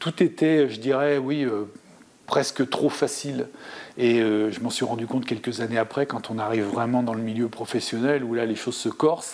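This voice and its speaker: This man's medium-pitched voice moves at a moderate pace with fairly even intonation. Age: 60s. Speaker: former table tennis player and coach. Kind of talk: interview. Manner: hesitant, many fillers.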